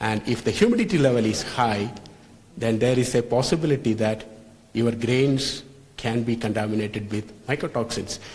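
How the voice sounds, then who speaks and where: Somewhat breathy and medium in pitch, a man's voice carries audible room echo. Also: fairly even intonation, moderate pace. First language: not English. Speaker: lecturer on food safety. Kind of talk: lecture. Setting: hotel hall with live audience. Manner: halting.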